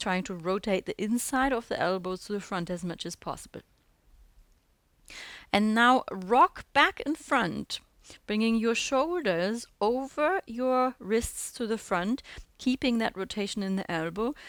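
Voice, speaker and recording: An unremarkable speaking voice moves at a fairly slow pace with lively intonation, in a dry, close sound with no echo. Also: woman, fairly high pitch for a woman. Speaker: handstand teacher. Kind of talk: audio guided exercise class instruction. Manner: calm, instructive.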